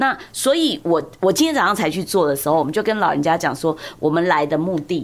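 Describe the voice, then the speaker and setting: A woman with a fairly low pitch and lively intonation at a very fast pace. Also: hardly any pauses. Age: 60s. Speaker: law professor. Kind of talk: interview conversation. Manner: animated; loud. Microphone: clipping, distorts when loud.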